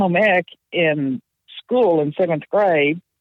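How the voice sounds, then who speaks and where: Her intonation is lively. This woman has an American accent. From Oklahoma, Tulsa area. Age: 60s. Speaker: retired bookkeeper, quilter. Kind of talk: interview.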